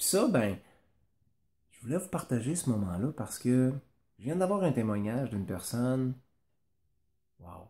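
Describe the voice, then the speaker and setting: A man with a Quebec accent, medium pitch and lively intonation, dark and mellow in tone, somewhat breathy, at a moderate pace. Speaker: business coach and cycling school owner. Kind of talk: motivational talk to camera. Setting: at home. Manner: casual, conversational.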